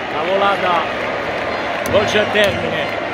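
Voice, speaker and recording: A man at a moderate pace, dry sound with no echo, loud background noise behind him. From Naples, Italy. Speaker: football fan YouTuber / commentator. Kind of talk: casual football commentary to camera. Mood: upbeat, proud. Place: stadium. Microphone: phone near.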